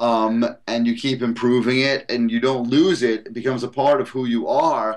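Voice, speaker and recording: A man with a New York accent, medium in pitch, at a fairly slow pace. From Brooklyn, New York. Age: 40s. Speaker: calisthenics trainer and author. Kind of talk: podcast interview. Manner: animated.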